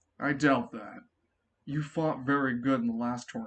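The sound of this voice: In a put-on character voice, a man booms out his lines at a medium pitch. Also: moderate pace.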